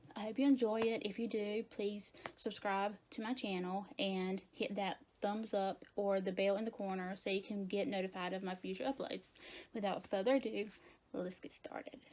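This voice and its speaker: Her voice is quiet, at a medium pitch with ordinary pitch variation. The woman keeps a moderate pace. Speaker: beauty vlogger. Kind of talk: casual vlog intro.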